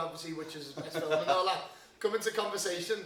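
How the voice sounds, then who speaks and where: A man talks at a very fast pace with fairly even intonation. Audible room echo and noticeable background noise are present in the recording. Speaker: podcast host. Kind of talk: casual chat.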